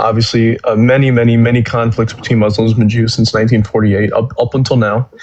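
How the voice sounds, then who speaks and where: There is noticeable background noise as a man talks at a very fast pace with hardly any pauses. His intonation is monotone and flat, and his loudness stays very even. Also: medium pitch for a man. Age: 20s. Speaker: caller in live debate. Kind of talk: heated debate. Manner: halting, many fillers.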